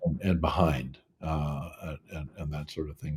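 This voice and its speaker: Somewhat breathy and dark, mellow in tone, a man talks at a moderate pace. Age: 70s. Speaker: podcast host. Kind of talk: interview conversation.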